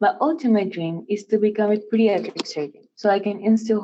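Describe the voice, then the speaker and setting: Speaking with a Spanish accent, a woman at a medium pitch keeps a moderate pace and ordinary pitch variation. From Puerto Rico. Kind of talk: scripted speech. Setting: virtual event.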